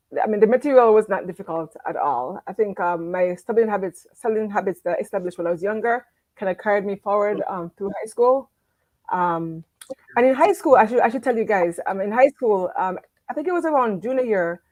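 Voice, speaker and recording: A woman's fairly high voice at a fairly quick pace, with lively intonation and a dry, close sound with no echo. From Jamaica, moved to US in eighth grade. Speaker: academic with a doctorate, interview guest. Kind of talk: interview on life story. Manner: hesitant, many fillers.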